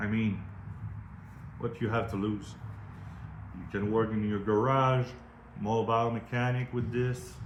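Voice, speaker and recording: With long, frequent pauses, a man speaks at a fairly slow pace and medium pitch in a monotone, flat intonation, with audible room echo. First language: French. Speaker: product reviewer, metal fabricator. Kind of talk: product review. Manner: casual, halting non-native phrasing.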